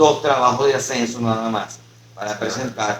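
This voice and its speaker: A man speaks at a fairly slow pace with fairly even intonation. Noticeable background noise runs underneath. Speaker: poet and university professor. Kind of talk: casual interview chat. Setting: podcast recorded on camera. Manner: hesitant, many fillers.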